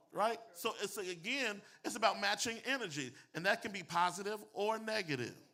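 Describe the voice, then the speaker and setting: A man's raised, projected voice, high-pitched and animated, bright and sharp in tone, with ordinary pitch variation at a moderate pace. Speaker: pastor and public speaking coach. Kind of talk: motivational talk to a live audience. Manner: preachy, animated delivery.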